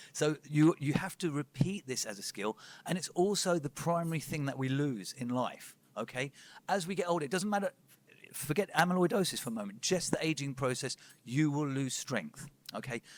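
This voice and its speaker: Heard dry and close with no echo, a man with a fairly high pitch speaks at a fairly quick pace with lively intonation. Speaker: personal trainer and strength coach. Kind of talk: conference talk. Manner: fast.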